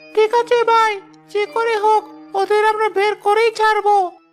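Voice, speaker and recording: A woman's cartoonish character voice at a moderate pace, very even in loudness, with faint music in the background. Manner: deferential to his boss.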